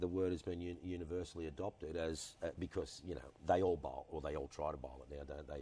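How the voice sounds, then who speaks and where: A man speaks very fast with an Australian accent, his pitch very deep and low, his tone dark and mellow with vocal fry. His intonation stays fairly even and he hardly pauses at all. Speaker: former cricketer and TV personality. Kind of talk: interview answer. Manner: charismatic, humorous storytelling.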